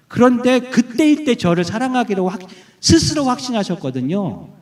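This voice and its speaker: This man's pitch swings very widely as he talks at a moderate speed. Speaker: guest preacher. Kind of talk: sermon. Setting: church with congregation.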